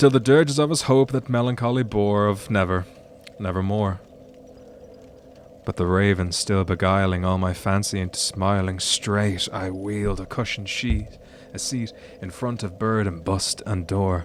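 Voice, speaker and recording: At a moderate pace, a man with a fairly low voice speaks with an Irish accent. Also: ordinary pitch variation. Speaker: streamer. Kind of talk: poetry reading. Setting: live stream.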